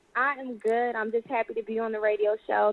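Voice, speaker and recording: With an American accent, a woman talks very fast in a fairly high pitch. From US, Philadelphia. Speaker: singer and actress. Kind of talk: radio interview.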